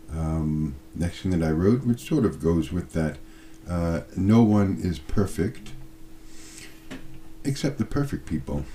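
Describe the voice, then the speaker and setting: A man with a very deep, low voice, dark and mellow in tone and somewhat breathy, speaks at a fairly slow pace with lively intonation and long, frequent pauses. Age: 60s. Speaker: video blogger. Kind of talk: casual monologue to camera. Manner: hesitant, with fillers.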